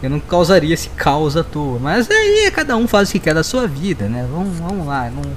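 Noticeable background noise accompanies a man speaking at a fairly high pitch. His intonation is lively, and he leaves hardly any pauses. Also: moderate pace. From Rio Grande do Sul, Brazil. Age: 20s. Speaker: podcaster. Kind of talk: casual chat.

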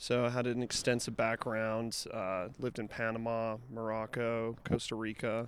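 In an American accent, a man speaks at a moderate pace and medium pitch with monotone, flat intonation and hardly any pauses. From Utah. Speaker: music event promoter. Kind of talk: casual interview chat.

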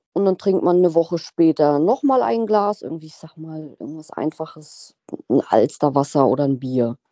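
A woman with a dark, mellow tone and fairly low pitch at a moderate pace, in a dry, close sound with no echo. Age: 30s. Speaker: recovering alcoholic sharing her story. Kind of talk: interview testimony.

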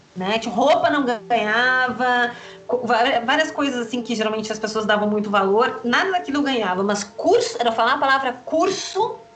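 Backed by music and audible room echo, a woman speaks at a high pitch with lively intonation. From Rio Grande do Sul, Brazil. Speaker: astrologer and magic teacher. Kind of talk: interview.

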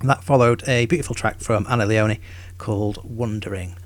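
A man's fairly low, somewhat breathy voice, fairly quick, with ordinary pitch variation, on a very clean recording with a silent background. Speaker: radio host. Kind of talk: radio dj patter. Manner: relaxed, conversational, informal.

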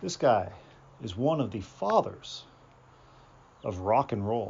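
The man speaks at a very slow pace. His pitch swings very widely. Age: 40s. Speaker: podcaster reading his own fiction. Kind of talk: casual chat; reading aloud.

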